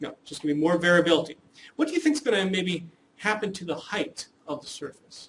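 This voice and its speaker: Talking at a fairly quick pace, a man with a high pitch uses ordinary pitch variation. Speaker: statistics professor. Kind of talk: lecture. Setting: classroom. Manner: fast.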